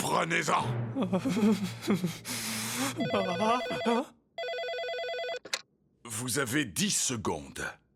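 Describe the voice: A man's cartoonish character voice, high-pitched and fairly bright, with vocal fry, big pitch swings, a very slow pace and long, frequent pauses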